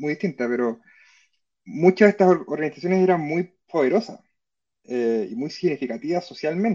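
Lively intonation colors a man's high-pitched voice with a dark, mellow tone. He talks at a moderate pace. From Chile. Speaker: historian and university professor. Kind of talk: interview. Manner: hesitant, many fillers.

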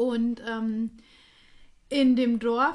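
A woman speaks in a high voice. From Hesse, Germany (Reichelsheim). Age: 30s. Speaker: podcast co-host. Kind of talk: casual chat.

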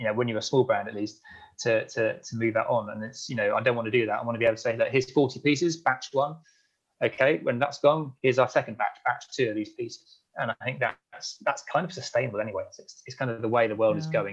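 Somewhat breathy and at medium pitch, a man talks at a very fast pace with ordinary pitch variation and big swings in loudness. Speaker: eyewear company founder. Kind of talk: interview. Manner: talkative.

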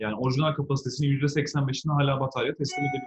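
This is a man's voice. His pitch is fairly high. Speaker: electric car entrepreneur. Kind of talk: interview. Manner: animated. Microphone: phone through an analog speaker.

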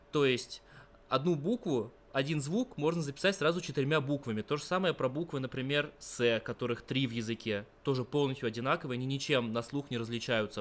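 A man with an unremarkable speaking voice talks at a fairly quick pace in a fairly high pitch, with ordinary pitch variation. The recording is very clean, with a silent background. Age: 20s. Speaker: university student of Persian. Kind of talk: interview.

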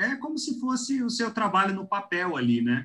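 In a raised, projected voice with a bright, sharp tone, a man talks at a moderate pace with very wide pitch swings. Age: 30s. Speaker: podcast co-host. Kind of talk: casual interview.

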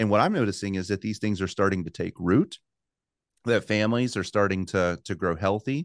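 A man with an American accent speaks at a fairly quick pace in a plain, everyday voice, fairly low in pitch with ordinary pitch variation, over a quiet background with a dry, close sound and no echo. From US South. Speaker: pastor. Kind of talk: interview conversation.

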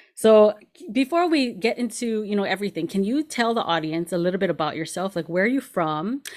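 The tone is animated and enthusiastic, with lively intonation and hardly any pauses. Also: woman, medium pitch for a woman, fairly quick pace. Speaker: podcast host. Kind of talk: casual interview chat. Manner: animated, enthusiastic.

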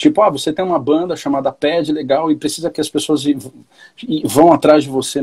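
A man talks somewhat quickly in a somewhat breathy, rather high voice with normal variation in pitch. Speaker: rock band vocalist. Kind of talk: casual chat. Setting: live stream.

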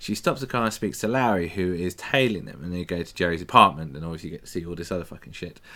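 The speaker goes at a very fast pace with hardly any pauses, in a bright, sharp tone with ordinary pitch variation. The recording is very clean, the background silent. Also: man, very deep, low pitch for a man, big swings in loudness. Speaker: podcast host. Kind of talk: casual chat. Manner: joking.

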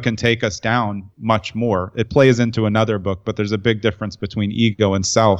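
There is a quiet background as a man with a fairly low pitch and ordinary pitch variation talks at a moderate pace in an ordinary speaking voice. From New York, Brooklyn. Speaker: entrepreneur and writer. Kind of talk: interview conversation.

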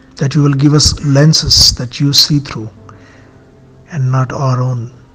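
The speech comes at a fairly slow pace, with noticeable background noise present. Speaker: prayer leader. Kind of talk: fervent intercessory prayer addressed to God. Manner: earnest, pleading.

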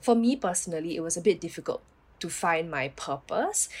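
The voice belongs to a woman with a fairly low pitch. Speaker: nurse. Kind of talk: casual chat. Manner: casual with many fillers.

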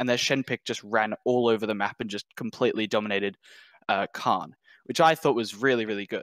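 A man with an Australian accent speaks at a moderate pace with fairly even intonation, in a dry, close sound with no echo. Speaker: caller. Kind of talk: call-in discussion.

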